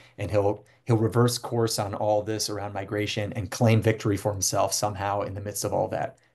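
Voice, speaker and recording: A man's somewhat breathy, dark, mellow voice with an American accent, at a fairly quick pace over a quiet background. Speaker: Jesuit priest, border ministry director. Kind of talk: webinar Q&A answer. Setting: video call. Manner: fast.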